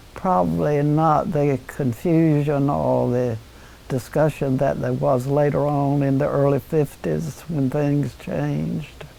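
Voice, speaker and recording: At a very slow pace, a woman speaks with a North Carolina accent. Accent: Southern American (North Carolina). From Red Oak, North Carolina. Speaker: former town mayor. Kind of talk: oral history interview answer.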